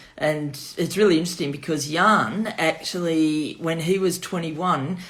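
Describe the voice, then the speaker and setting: Audible room echo carries a woman's voice with a Melbourne accent and fairly even intonation. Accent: Melbourne Australian. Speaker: wine shop owner. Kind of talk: virtual wine tasting.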